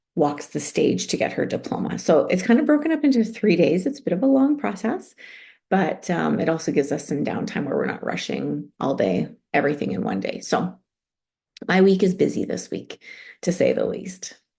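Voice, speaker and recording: This woman has a Canadian accent. She talks at a moderate pace. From Canada. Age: 40s. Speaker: online group coach. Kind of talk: live stream chat. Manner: casual, chatty.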